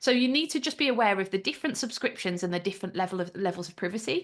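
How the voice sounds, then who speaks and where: A woman with a Birmingham accent against a quiet background. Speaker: AI trainer and business founder. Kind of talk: interview.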